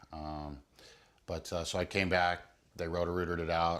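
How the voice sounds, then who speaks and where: Here a man talks at a moderate pace. His very deep, low voice stays monotone and flat. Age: 40s. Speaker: patient giving testimonial. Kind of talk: testimony. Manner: halting, many fillers; casual.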